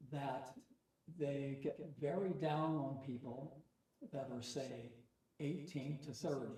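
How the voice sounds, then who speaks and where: At a very slow pace, a man speaks somewhat breathily with long, frequent pauses, fairly even intonation and a fairly high pitch. His tone is dark and mellow, and audible room echo surrounds him. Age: 80s+. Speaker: war veteran. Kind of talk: casual chat.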